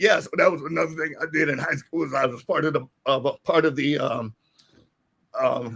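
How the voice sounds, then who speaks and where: Speaking in a fairly high voice, a man keeps a moderate pace with ordinary pitch variation. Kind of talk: casual interview chat. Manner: halting, many fillers.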